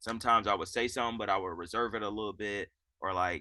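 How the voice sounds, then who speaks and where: A loud man at a very fast pace, his tone bright and sharp, against a quiet background. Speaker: assistant basketball coach. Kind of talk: interview. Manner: casual.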